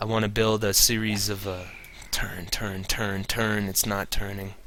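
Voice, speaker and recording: A man's fairly low, monotone, flat voice at a fairly slow pace, with audible room echo and noticeable background noise. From Canada. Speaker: game streamer. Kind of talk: casual live-stream commentary. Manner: slurs words at times.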